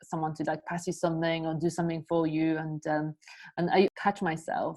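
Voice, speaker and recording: In a Polish accent, the speaker talks at a fairly quick pace with fairly even intonation against a quiet background. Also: woman. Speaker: podcast host. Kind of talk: casual chat.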